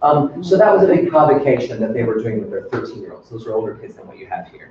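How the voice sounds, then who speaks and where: A man talks at a fairly quick pace. His pitch swings are very wide. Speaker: workshop presenter for teachers. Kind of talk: professional development workshop.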